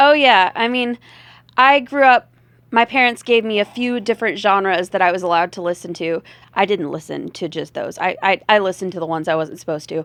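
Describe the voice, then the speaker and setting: A woman's medium-pitched voice with lively intonation at a fairly quick pace, in a dry, close sound with no echo and a quiet background. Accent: slight Southern US. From US South. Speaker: rock and blues singer, comedian. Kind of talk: casual interview chat. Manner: hesitant, many fillers.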